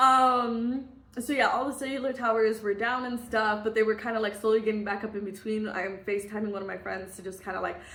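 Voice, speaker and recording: Woman at a fairly high pitch and very fast pace, with audible room echo. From US Midwest. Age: 20s. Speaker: vlogger. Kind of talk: casual storytime. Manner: animated.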